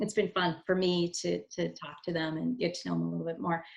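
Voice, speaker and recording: In an Upper Midwest accent, a woman speaks at a moderate pace. Her pitch is fairly low. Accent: Upper Midwest American. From Wisconsin. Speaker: corporate communications director. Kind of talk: interview.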